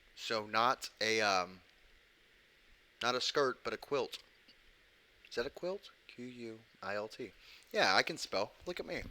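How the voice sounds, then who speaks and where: With an American accent, a man speaks at medium pitch in a bright, sharp tone with lively intonation. His pace is fairly slow, broken by long, frequent pauses. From United States. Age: adult, ex-military. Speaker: podcast host. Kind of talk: casual chat.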